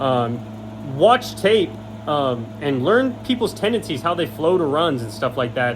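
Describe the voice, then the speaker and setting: The voice has an animated tone. Noticeable background noise can be heard. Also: man. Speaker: high school football analyst. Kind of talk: sports breakdown video. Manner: fast; casual, animated.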